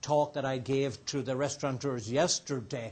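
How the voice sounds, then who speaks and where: Against a quiet background, a man with an Irish accent speaks with fairly even intonation. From Ireland. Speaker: restaurateur and entrepreneur. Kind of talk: guest talk to students. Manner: casual, with many fillers.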